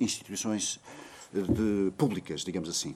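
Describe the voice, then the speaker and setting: This man talks at a moderate pace in a dark, mellow tone. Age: 40s. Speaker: university professor. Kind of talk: conference talk. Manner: halting.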